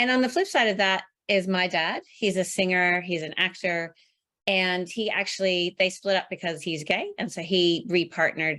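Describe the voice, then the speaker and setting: Over a very clean recording with a silent background, a woman with an American accent uses a normal speaking voice at a medium pitch, keeping a moderate pace and fairly even intonation. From US Northeast, Maine. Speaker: project management specialist, motivational speaker. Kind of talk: interview.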